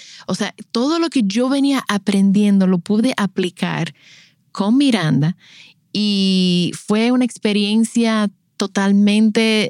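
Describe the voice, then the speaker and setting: In a very clean recording with a silent background and a dry, close sound with no echo, a woman with a Dominican accent speaks at medium pitch and a fairly slow pace, her loudness very even and her pitch varying in an ordinary way. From Dominican Republic, La Romana. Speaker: podcast host and postpartum doula. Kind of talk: personal storytelling. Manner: animated.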